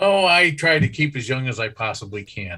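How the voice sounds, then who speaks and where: Here is a man with a plain, everyday voice at a moderate pace. His intonation is lively. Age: 60s. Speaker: participant. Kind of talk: group discussion.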